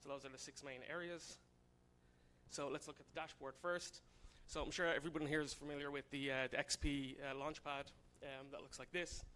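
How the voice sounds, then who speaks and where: A man's fairly high, bright, sharp voice in an Irish accent, monotone and flat, at a fairly quick pace. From Ireland, Dublin. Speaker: software consultant, conference speaker. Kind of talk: conference talk. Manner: casual, many fillers.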